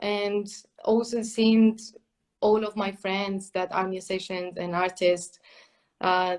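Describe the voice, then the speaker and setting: At a fairly slow pace, a woman talks in a monotone with flat intonation and a medium pitch. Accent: Spanish. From Spain. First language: Spanish. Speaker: clarinetist and music teacher. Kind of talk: interview. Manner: hesitant, many fillers.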